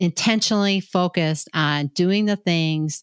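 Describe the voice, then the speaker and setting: An unremarkable speaking voice from a woman, fairly low in pitch, with ordinary pitch variation. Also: dry, close sound with no echo, very clean recording, silent background. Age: 60s. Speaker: healthcare leadership coach. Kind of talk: podcast conversation.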